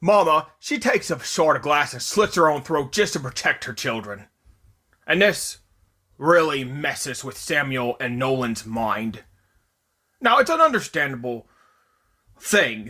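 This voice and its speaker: A man's put-on character voice, fairly high in pitch, at a moderate pace with long, frequent pauses. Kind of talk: casual movie review recap. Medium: solo performance. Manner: conversational, rambling, self-correcting.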